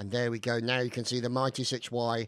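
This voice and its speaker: In a very clean recording with a silent background, the speaker talks at a moderate pace in a British accent. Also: man. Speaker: gameplay commentator. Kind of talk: live game commentary.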